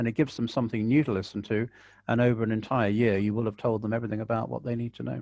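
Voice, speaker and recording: With an English accent, a man of medium pitch rattles along at a very fast pace in a monotone, flat intonation over a quiet background. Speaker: birder and ornithological society chair. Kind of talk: webinar Q&A advice. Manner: relaxing, calm.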